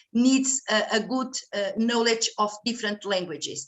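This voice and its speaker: Lively intonation marks this woman's speech. She has a high pitch and a Portuguese accent. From Portugal. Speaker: Portuguese language lecturer. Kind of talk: conference panel remarks. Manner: halting, many fillers.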